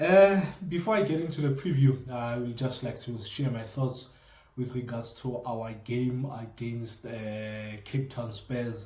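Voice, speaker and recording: A man with a South African accent has a dark, mellow, somewhat breathy tone at a medium pitch with ordinary pitch variation. He speaks at a fairly slow pace, with audible room echo. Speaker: football fan vlogger. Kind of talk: casual commentary vlog. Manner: halting, many fillers; mumbles.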